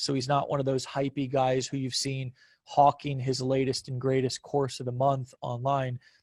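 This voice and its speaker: Recorded dry and close with no echo over a quiet background, a man with a fairly high pitch sounds somewhat breathy, his tone dark and mellow. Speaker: online marketing coach. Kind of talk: promotional video chat.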